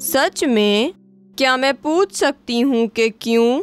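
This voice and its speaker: Over faint music in the background, a high-pitched, female-sounding voice performs a cartoonish character voice. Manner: measured, quietly probing.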